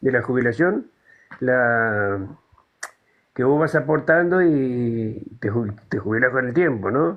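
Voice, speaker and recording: A man with a Buenos Aires accent speaks at medium pitch with lively intonation. His pace is very slow, broken by long, frequent pauses. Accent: Rioplatense Spanish (Buenos Aires). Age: 70s. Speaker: caller in a live political discussion. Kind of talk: casual chat.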